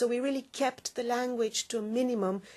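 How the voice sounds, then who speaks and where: Against a quiet background, a woman speaks at a moderate pace with a non-native accent. Her pitch is high. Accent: foreign. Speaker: exam developer. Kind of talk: webinar Q&A answering questions.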